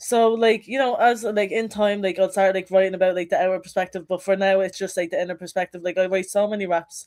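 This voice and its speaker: With a Dublin accent, a woman of medium pitch talks at a very fast pace with hardly any pauses and fairly even intonation. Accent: Dublin Irish. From Ireland, Dublin (Finglas). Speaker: rapper. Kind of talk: casual interview. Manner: casual, heavy use of like.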